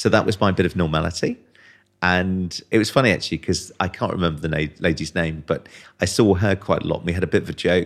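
The speech races along at a very fast clip. Intonation stays fairly even over a very clean recording with a silent background. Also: man, very deep, low pitch for a man. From Wiltshire, England. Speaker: estate agent and voiceover artist. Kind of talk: casual interview chat.

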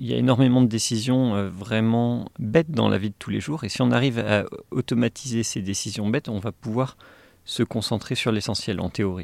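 Against a silent background, this is a very clean recording of a man. His pitch is medium, with ordinary variation. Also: moderate pace. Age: 40s. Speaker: AI engineer and tech whistleblower. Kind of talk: interview. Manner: hesitant, many fillers and repetitions.

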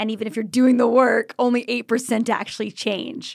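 A woman with a plain, everyday voice, fairly high in pitch, at a fairly quick pace, in a very clean recording with a silent background. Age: 30s. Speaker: podcast host. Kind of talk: interview. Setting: studio.

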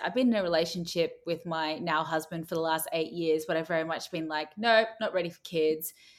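A woman speaks in a fairly low voice on a very clean recording with a silent background. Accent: Australian. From Australia. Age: 30s. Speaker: TV personality. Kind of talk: interview.

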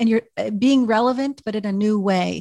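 On a very clean recording with a silent background, a woman speaks somewhat breathily at a fairly quick pace with fairly even intonation. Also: dry, close sound with no echo. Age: 50s. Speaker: podcast host. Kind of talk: interview.

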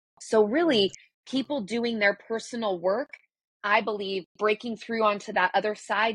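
A woman with a plain, everyday voice speaks at a moderate pace and a fairly high pitch with ordinary pitch variation, in a dry, close sound with no echo. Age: 40s. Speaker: breakthrough coach and yoga teacher. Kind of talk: interview.

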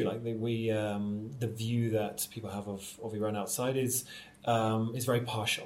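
A man with a normal speaking voice talks at a fairly slow pace, his medium pitch held in fairly even intonation. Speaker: theatre director and actor. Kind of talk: conversational interview.

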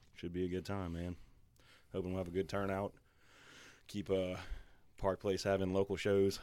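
The voice has a dark, mellow tone and a Louisiana accent, delivered in a monotone, flat way at a moderate pace with long, frequent pauses. The recording is very clean with a silent background. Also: man, very deep, low pitch for a man. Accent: Louisiana Southern American. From Louisiana, Baton Rouge area. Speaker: musician. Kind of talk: casual chat.

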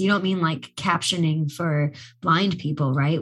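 The voice is somewhat breathy, moving at a fairly quick pace with an animated, enthusiastic tone and ordinary pitch variation. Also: woman. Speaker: podcast co-host. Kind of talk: casual interview chat.

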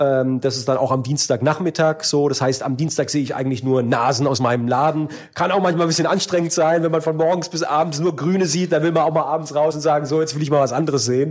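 Speaking at a very fast pace, a man talks with hardly any pauses. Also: fairly high pitch for a man, fairly even intonation. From Baden-Württemberg, Germany. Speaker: member of parliament. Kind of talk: interview. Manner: casual, many fillers.

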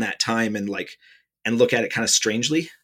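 A man with an American accent has a normal speaking voice, medium in pitch with ordinary pitch variation, at a fairly quick pace. The recording is very clean, with a silent background. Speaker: podcast host and author. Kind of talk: casual interview.

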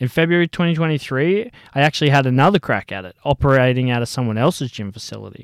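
A man with an Australian accent talks at a very fast pace in a medium pitch, his intonation lively, on a very clean recording with a silent background and a dry, close sound with no echo. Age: 20s. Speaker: podcast host, personal trainer. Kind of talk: personal monologue.

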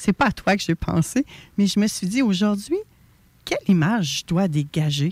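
Somewhat breathy, a woman speaks at a fairly slow pace. The sound is dry and close with no echo, on a very clean recording with a silent background. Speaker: radio host. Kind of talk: radio talk show interview. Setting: radio studio, also streamed live.

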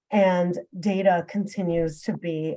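Somewhat breathy and dark, mellow in tone, a woman's medium-pitched voice carries an American accent and ordinary pitch variation. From New York City. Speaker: consulting executive. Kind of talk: interview.

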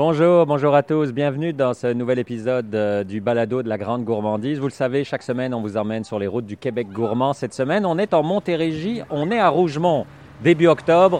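A man with a normal speaking voice and medium pitch talks at a fairly quick pace with lively intonation and hardly any pauses. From Belgium. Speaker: food podcast host. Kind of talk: podcast intro and outro; interview. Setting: on site at farm shop.

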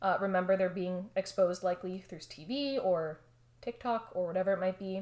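A plain, everyday voice from a woman with an American accent, medium in pitch and moderate in pace. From Miami, Florida. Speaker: counseling psychology researcher. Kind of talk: expert interview.

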